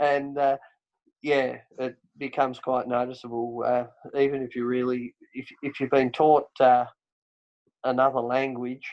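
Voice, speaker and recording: The speaker talks at a moderate pace. The intonation is monotone and flat. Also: man. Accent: Tasmanian. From Tasmania, Australia. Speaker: podcast host. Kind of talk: casual chat.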